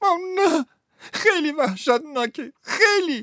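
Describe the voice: In a very clean recording with a silent background and a dry, close sound with no echo, a man uses a put-on character voice at an extremely high pitch, with a bright, sharp tone and lively intonation.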